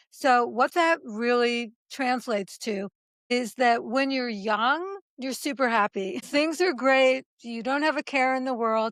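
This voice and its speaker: Here is a woman with an American accent and a high pitch. She talks at a fairly slow pace. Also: ordinary pitch variation, dry, close sound with no echo. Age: 70s. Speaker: author and speaker on aging. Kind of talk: interview.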